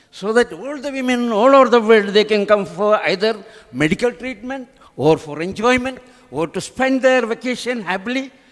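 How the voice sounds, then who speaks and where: A man talks at a moderate pace with a high pitch and lively intonation. Noticeable background noise runs under his voice. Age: 70s. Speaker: local dignitary. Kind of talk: formal speech.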